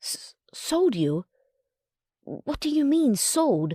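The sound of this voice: A woman uses a put-on character voice, high in pitch with a dark, mellow tone. She speaks at a very slow pace with big pitch swings. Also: dry, close sound with no echo.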